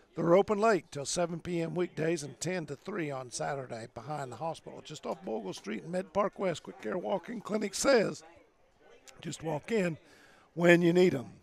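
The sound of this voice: Putting on a character voice, a man speaks hoarsely at a high pitch and moderate pace with lively intonation.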